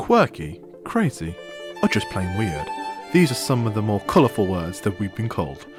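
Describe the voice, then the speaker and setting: With music in the background, a man with fairly low pitch talks at a moderate pace using lively intonation. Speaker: student radio presenter. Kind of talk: radio station promo read.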